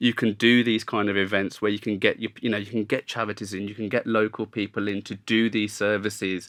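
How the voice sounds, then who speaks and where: A man with a Birmingham accent speaks at a fairly low pitch in a monotone, flat intonation. His fairly quick delivery has hardly any pauses, on a very clean recording with a silent background. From Birmingham, England. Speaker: podcast host, business development manager. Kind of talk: podcast interview. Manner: conversational, some hesitation.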